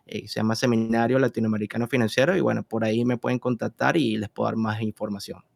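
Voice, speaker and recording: A man's medium-pitched voice in a Venezuelan accent, with a dry, close sound and no echo. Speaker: investment and trading expert. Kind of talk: interview. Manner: hesitant, frequent fillers.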